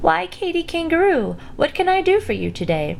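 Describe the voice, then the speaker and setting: A female-sounding, put-on character voice is squeaky and extremely high-pitched, at a moderate pace. Clear background noise can be heard. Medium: read story.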